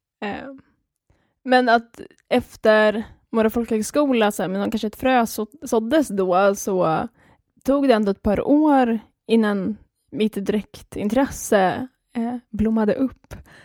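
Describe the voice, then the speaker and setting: In a very clean recording with a silent background and a dry, close sound without echo, a woman speaks very slowly, leaving long, frequent pauses. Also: fairly high pitch for a woman, ordinary pitch variation. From Skåne, Sweden. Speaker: podcast co-host, craft student. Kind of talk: casual chat.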